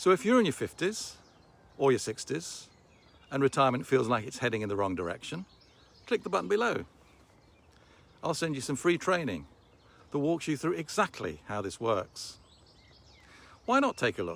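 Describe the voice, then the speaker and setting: A man with a fairly high pitch and vocal fry speaks at a moderate pace. His pitch swings very widely, and he takes long, frequent pauses. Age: 60s. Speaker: online business promoter. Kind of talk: sales pitch.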